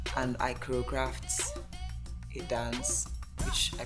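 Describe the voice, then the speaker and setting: Clear music accompanies a woman's speech. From Nigeria. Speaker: nurse, pilot, content creator. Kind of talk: personal story podcast. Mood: warm, reflective storytelling. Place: home room.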